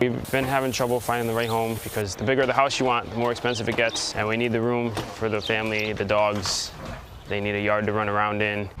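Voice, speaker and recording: Speaking at a very fast pace, a man has a medium pitch and monotone, flat intonation. Audible room echo and noticeable background noise surround him. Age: 20s. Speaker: police officer. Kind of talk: personal testimony.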